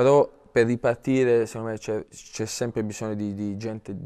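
Against a quiet background, a man speaks at a moderate pace in a dark, mellow tone with monotone, flat intonation. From Apulia, Italy. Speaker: professional footballer; guest. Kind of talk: TV sports interview. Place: studio. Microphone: lapel.

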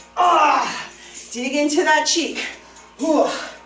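A woman with a high voice is heard over clear background music, with audible room echo. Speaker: fitness instructor. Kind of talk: workout instruction. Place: studio. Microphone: camera far.

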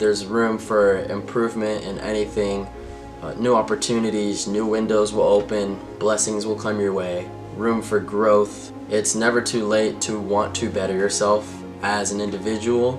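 Clear music plays in the background as a man with a fairly low pitch speaks at a moderate pace. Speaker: vlogger. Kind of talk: casual talk to camera. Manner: upbeat, energetic. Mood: calm, reflective. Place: home room.

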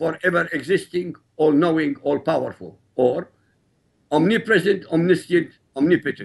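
Against a quiet background, a man with an Arabic accent talks at a moderate pace in a high pitch with ordinary pitch variation. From Iraq. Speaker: author and critic of Islam. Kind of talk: interview. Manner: formal. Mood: firm, assertive. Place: studio. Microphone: lapel.

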